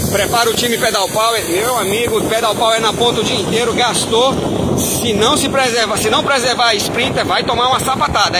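Through noticeable background noise, a man talks fairly quickly in a raised, projected voice. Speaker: cycling commentator filming from motorbike. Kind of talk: live sports commentary. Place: motorbike.

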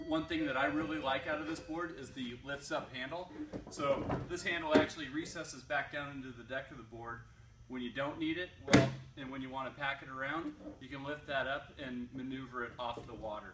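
Loud background noise competes with a man speaking at a fairly quick pace. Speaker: shop staff reviewing a product. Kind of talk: product review. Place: shop. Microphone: camera far.

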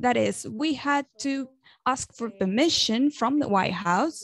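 A woman talks at a fairly slow pace. The sound is dry, with no echo. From Venezuela. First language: Spanish. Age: young. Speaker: journalist and activist; journalist. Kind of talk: speech at an online event. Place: home room. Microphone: earbuds.

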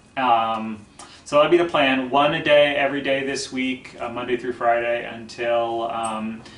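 Fairly even intonation from a male speaker, set in audible room echo. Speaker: poetry show host. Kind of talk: casual talk to young viewers. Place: home room.

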